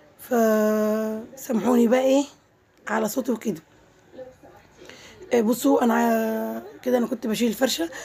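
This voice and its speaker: Against noticeable background noise, a woman talks at a fairly slow pace with fairly even intonation and long, frequent pauses. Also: fairly high pitch for a woman. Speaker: vlogger. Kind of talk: casual vlog narration. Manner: halting, many fillers.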